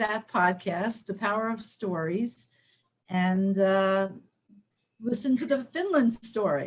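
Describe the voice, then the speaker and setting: A woman speaks at a fairly slow pace, somewhat breathy. Her pitch varies in an ordinary way. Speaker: webinar host. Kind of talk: webinar presentation.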